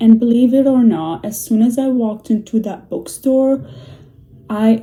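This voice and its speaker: A woman with a non-native accent at a moderate pace, ordinary pitch variation, and noticeable background noise behind her. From Middle East. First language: not English (Middle Eastern language). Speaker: book vlogger, nursing assistant. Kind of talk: casual vlog monologue. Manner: chatty, with fillers and hesitations.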